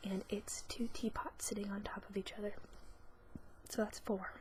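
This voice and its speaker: Whispering, soft-spoken woman over noticeable background noise. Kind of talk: ASMR casual talk to camera. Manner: soft-spoken, whispering.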